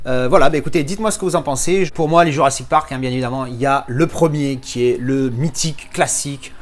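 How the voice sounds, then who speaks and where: Speaking fairly quickly, a man varies his pitch in an ordinary way. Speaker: film collector YouTuber. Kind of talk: unboxing review. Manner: fast; casual, hesitant fillers.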